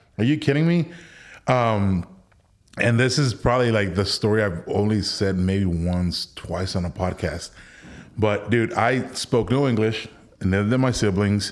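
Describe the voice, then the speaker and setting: A man's fairly low voice at a fairly slow pace, with lively intonation and an ordinary speaking voice. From Mexico (Villahermosa, Tabasco), raised in Texas Rio Grande Valley. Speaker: war veteran. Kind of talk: casual chat. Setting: studio.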